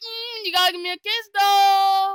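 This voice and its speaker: Here is a cartoonish character voice. It is pitched extremely high. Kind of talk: crude comic fandub. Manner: blustering, profane.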